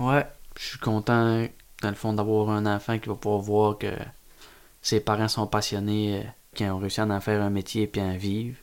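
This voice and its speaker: A man speaks at a moderate pace with long, frequent pauses. His fairly low voice stays monotone and flat. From Quebec, Gaspésie (Carleton). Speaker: oyster farmer. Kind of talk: casual chat. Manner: halting.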